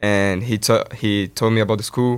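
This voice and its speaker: With a Brazilian accent, a man talks at a medium pitch on a very clean recording with a silent background. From Brazil (São Paulo). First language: Portuguese. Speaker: student athlete. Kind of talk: interview.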